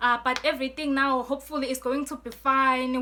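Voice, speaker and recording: A woman speaks at a fairly quick pace in a raised, projected voice, her high pitch bright and sharp but her intonation a flat monotone. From Eswatini. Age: 20s. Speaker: student and poet YouTuber. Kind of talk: storytime vlog. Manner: casual, filler-heavy.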